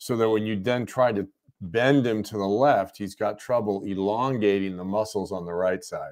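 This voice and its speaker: Intonation stays fairly even for this man. He keeps a moderate pace. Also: fairly low pitch for a man. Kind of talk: casual live chat. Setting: Facebook live stream. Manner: mumbles at times.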